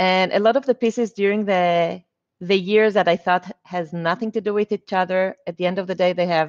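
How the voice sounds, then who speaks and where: A woman with a non-native accent at a fairly quick pace, fairly even in intonation, with a dry, close sound with no echo and a quiet background. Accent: foreign accent, noticeable. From Israel (born in Argentina). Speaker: mortgage loan officer and realtor. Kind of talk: interview.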